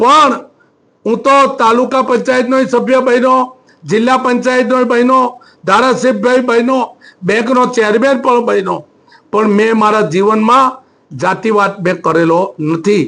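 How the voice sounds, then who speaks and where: A man's extremely high pitch with ordinary pitch variation. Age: 60s. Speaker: politician. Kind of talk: press statement. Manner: halting.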